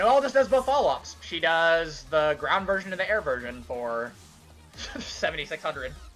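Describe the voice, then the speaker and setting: With music in the background, a man speaks at a moderate pace. His high voice moves through very wide pitch swings. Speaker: video game modder. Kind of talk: gameplay showcase commentary. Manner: stutters at times; casual, hesitant with fillers.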